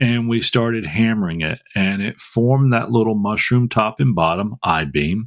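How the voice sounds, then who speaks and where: The speaker has a Southern US accent and ordinary pitch variation. The pace is moderate. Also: man. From North Carolina. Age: 60s. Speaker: podcast host. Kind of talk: casual chat. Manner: halting.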